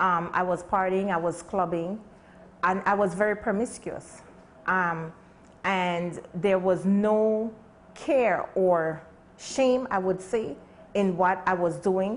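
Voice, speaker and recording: A woman speaks at a very slow pace with long, frequent pauses, fairly even intonation and very even loudness. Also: medium pitch for a woman. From Belize. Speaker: speaker. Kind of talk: testimony. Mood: earnest, reflective testimony. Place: shop. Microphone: lapel.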